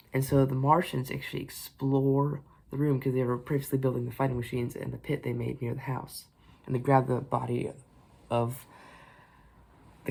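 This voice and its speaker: A man at medium pitch, somewhat breathy, with monotone, flat intonation, a fairly quick pace and long, frequent pauses. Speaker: book reviewer. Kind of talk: casual book review to camera. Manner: hesitant, rambling.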